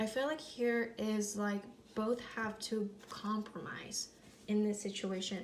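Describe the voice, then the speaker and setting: Noticeable noise runs behind the voice. The words come fairly slowly. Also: woman. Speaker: tarot reader. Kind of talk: tarot reading. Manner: hesitant, many fillers; slurring at times.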